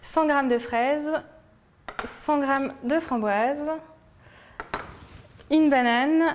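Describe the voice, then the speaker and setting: Noticeable background noise sits behind a woman with a high pitch. She talks at a very slow pace with fairly even intonation. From France, Lyon. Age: 20s. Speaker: food blogger. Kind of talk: cooking tutorial. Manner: hesitant, frequent fillers and repetitions.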